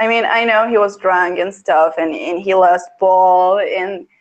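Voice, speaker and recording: A woman's medium-pitched voice with a non-native accent, ordinary pitch variation and a fairly slow pace. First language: not English. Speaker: guest fan. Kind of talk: casual chat. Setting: live stream. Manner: halting.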